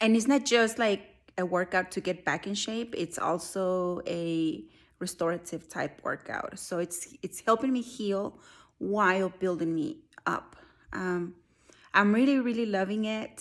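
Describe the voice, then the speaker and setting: An unremarkable speaking voice from a woman, medium in pitch, with ordinary pitch variation and a fairly slow pace. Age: 40s. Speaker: army service member. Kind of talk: casual talk to camera.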